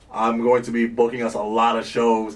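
A man of medium pitch talks at a moderate pace over noticeable background noise. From Sierra Leone, raised in Vermont. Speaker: musician. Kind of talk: casual chat. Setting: studio.

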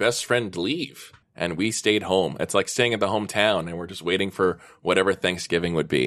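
A man speaks with an unremarkable speaking voice, lively intonation and a medium tempo, the background quiet. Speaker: tabletop role-playing podcast guest player; school lunch and recess supervisor.

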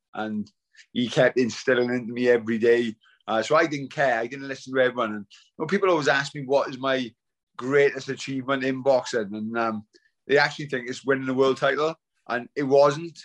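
A man with a South Wales accent talks at a fairly quick pace and medium pitch, his intonation fairly even, against a quiet background. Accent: Welsh (South Wales). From Wales, Swansea. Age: 40s. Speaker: retired professional boxer. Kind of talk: casual interview.

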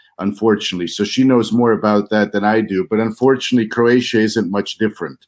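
Someone with an American accent talks very fast, with fairly even intonation and very even loudness. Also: man, fairly low pitch for a man. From US Midwest, Missouri near Kansas City. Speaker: member of parliament, politician. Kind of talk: interview.

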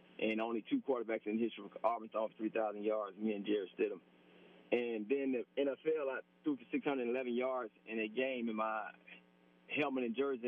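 A man speaks with a Southern US accent. His pace is moderate and his intonation fairly even. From Alabama. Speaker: former college quarterback. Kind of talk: radio interview.

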